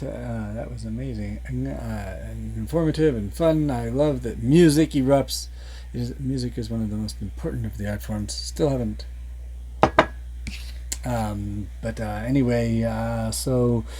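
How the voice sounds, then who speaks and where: Through noticeable background noise, a man with a very deep, low pitch speaks at a fairly slow pace in monotone, flat intonation. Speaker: variety show host and producer. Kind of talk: casual talk to camera, show host intro.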